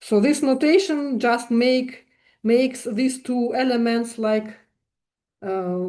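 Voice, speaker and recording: Amid audible room echo, a woman with a non-native accent speaks at a fairly slow pace, her fairly high-pitched voice dark and mellow in tone. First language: not English. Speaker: mathematics lecturer. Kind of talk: lecture. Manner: halting, many fillers.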